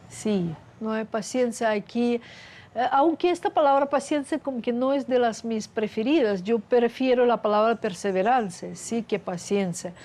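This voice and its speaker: Fairly high-pitched woman's voice in a Russian accent, dark and mellow in tone, with lively intonation and a fairly slow pace. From Russia (Soviet Union). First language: Russian (speaking Spanish). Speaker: scientist. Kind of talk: interview.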